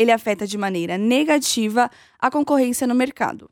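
With a high pitch, a woman talks using lively intonation. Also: dry, close sound with no echo. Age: young. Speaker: trainee journalist podcast host. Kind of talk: scripted narration.

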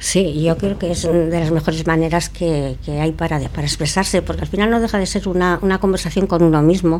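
Noticeable noise sits behind words delivered at a fairly quick speed. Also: hardly any pauses. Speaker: literary association member. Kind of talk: radio interview.

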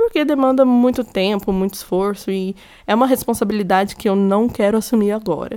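A woman of medium pitch talks at a fairly quick pace with ordinary pitch variation. The recording is very clean with a silent background. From Minas Gerais, Brazil. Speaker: podcaster. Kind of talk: personal monologue. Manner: casual, conversational.

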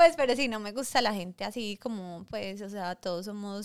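In a very clean recording with a silent background and a dry, close sound with no echo, a woman talks at a moderate pace at medium pitch in an unremarkable speaking voice. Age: 30s. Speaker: podcast co-host. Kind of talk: casual chat.

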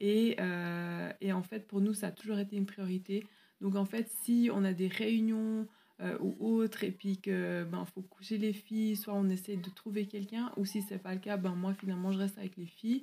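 At a moderate pace, a woman with a medium pitch speaks in a dark, mellow, somewhat breathy tone with monotone, flat intonation. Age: 30s. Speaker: teacher and pastor's wife. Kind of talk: interview.

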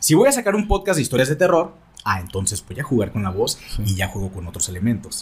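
Talking at a very fast pace, a man shows very wide pitch swings and vocal fry. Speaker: radio host and content creator. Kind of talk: casual chat. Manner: trained broadcaster modulation.

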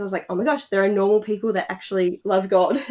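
The speaker has an Australian accent. Their intonation stays fairly even. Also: woman. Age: 20s. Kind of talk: casual interview.

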